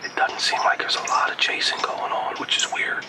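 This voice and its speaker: Noticeable background noise surrounds a man whispering at a moderate pace. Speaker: hunting show pro-staffer. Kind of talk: hunting video self-narration. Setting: outdoors in a tree stand. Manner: casual, with filler words.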